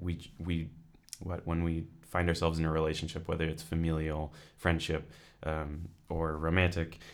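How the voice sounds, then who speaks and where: Speaking at a moderate pace, a man with a Californian accent has a very deep, low pitch. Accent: Californian American. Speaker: creative writing student and author. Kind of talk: casual interview.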